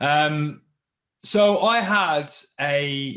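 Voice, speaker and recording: A man speaks with a British accent. His voice sits at a fairly high pitch. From southwest England, Plymouth. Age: 30s. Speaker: military veteran and motivational speaker. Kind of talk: podcast interview.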